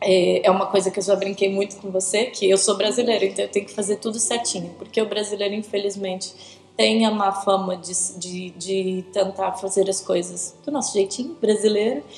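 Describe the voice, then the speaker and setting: In a São Paulo accent, a woman speaks at a moderate pace and medium pitch with fairly even intonation, big swings in loudness and noticeable background noise. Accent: São Paulo Brazilian Portuguese. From Brazil, São Paulo. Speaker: interviewee, church member. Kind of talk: casual interview. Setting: video recording with host beside her.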